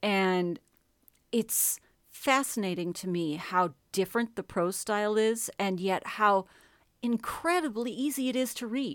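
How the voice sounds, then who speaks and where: A woman with an unremarkable speaking voice talks fairly slowly at a fairly high pitch. Her intonation is lively, and the recording is very clean with a silent background. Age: 40s. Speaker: author and narrator. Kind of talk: casual chat.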